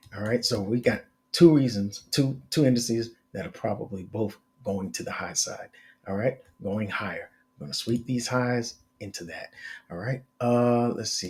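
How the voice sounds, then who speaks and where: The voice is somewhat breathy, with ordinary pitch variation. Its loudness swings widely. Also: man, medium pitch for a man, moderate pace. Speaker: market analyst. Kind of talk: tutorial. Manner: casual with many fillers.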